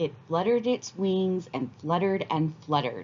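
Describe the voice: Someone reads a text aloud. It is plain reading aloud.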